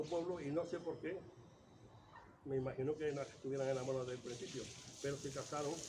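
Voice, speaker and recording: A man's fairly high voice at a fairly quick pace with ordinary pitch variation and long, frequent pauses, over noticeable background noise and audible room echo. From Córdoba, Andalusia, Spain. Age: 70s. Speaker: oral history interviewee. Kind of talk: oral history interview. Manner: halting.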